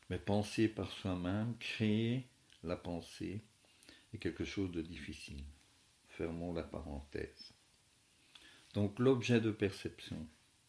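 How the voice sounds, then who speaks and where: Long, frequent pauses break up very slow speech that has ordinary pitch variation. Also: man, fairly low pitch for a man. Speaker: philosophy teacher. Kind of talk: lecture. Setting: at home. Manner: soft-spoken.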